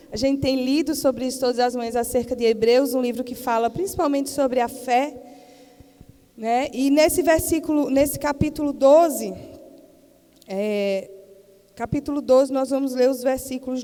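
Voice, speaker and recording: A woman speaks with a Paraíba accent and a high pitch. Her pace is moderate and her pitch varies in an ordinary way. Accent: Northeastern Brazilian (Paraíba). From Paraíba, Brazilian Northeast (Campina Grande). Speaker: missionary preacher, pastor's wife. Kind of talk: sermon. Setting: church missionary event with audience.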